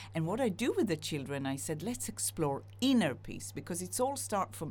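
A woman with an Israeli accent speaks at a very deep, low pitch with vocal fry and very wide pitch swings. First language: Hebrew. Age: 50s. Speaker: singer-songwriter. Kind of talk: interview.

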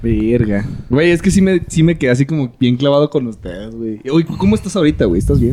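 A man with a Mexican accent, medium-pitched with very wide pitch swings, at a fairly quick pace over noticeable background noise. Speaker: podcast host. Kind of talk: casual chat. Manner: animated.

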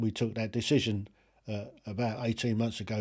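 With a British accent, a man speaks at a medium pitch in a dark, mellow tone. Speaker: podcast host ranting. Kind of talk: angry opinionated rant, solo monologue. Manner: indignant, emphatic, blunt; ranting, repeated phrases, talks straight to the listener.

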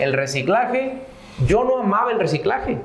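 Amid noticeable background noise and audible room echo, a man talks at a fairly slow pace with very wide pitch swings. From northern Mexico (Sierra de Santiago, Nuevo León). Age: 30s. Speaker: entrepreneur in recycling and real estate. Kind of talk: interview.

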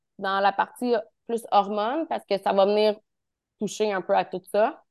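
Here a woman talks at a moderate pace with a fairly high pitch and ordinary pitch variation. The sound is dry and close, with no echo. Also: quiet background. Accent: Quebec. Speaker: naturotherapist. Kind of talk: expert interview. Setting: video call.

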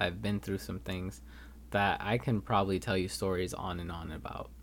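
A man's very deep, low voice with vocal fry and very wide pitch swings, at a moderate pace. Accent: Californian. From Los Angeles, California. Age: 20s. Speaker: podcast host, college student. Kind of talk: solo podcast monologue.

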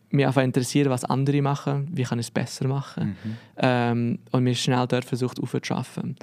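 Fairly quick, fairly even speech from a man at a medium pitch. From Switzerland, Biel (Bernese region). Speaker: lettering artist. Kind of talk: casual interview.

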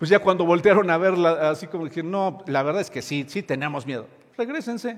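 A man with a high-pitched voice talks at a fairly quick pace, his intonation lively. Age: 60s. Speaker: pastor. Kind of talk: sermon. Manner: halting.

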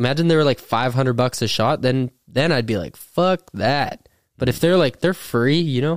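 A man with a normal speaking voice talks at a moderate pace, with medium pitch and ordinary pitch variation. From Thunder Bay, Canada. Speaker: professional MMA fighter. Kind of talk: casual podcast chat.

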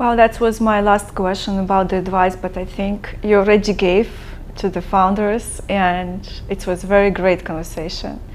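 Over noticeable background noise, a woman talks at a moderate pace and medium pitch with monotone, flat intonation. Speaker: podcast host. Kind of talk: casual interview.

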